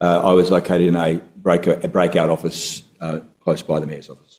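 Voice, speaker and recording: With an Australian accent, a man speaks in a very deep, low pitch. His tone is dark and mellow. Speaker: former council director and former state politician. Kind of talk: testimony at public inquiry. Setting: courtroom hearing. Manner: halting, many fillers; quiet.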